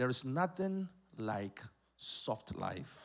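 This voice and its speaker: A man's voice against a quiet background. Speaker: pastor. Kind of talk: sermon. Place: church. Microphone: handheld.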